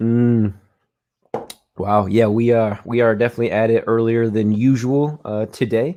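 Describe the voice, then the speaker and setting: At a moderate pace and medium pitch, a man speaks with fairly even intonation and very even loudness in an unremarkable speaking voice. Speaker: podcast host. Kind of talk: casual live-stream interview talk.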